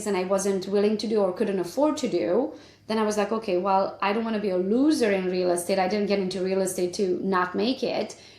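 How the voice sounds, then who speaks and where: With a Romanian accent, a woman speaks at a fairly quick pace and medium pitch. Her pitch varies in an ordinary way, and background noise is noticeable. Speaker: realtor and business coach. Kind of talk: interview.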